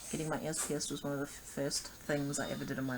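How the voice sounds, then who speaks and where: Speaking at a very fast pace and a fairly high pitch, a man's voice carries audible room echo. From New Zealand. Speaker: vlogger. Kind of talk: casual vlog monologue. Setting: home video recording. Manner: rambling, halting with fillers.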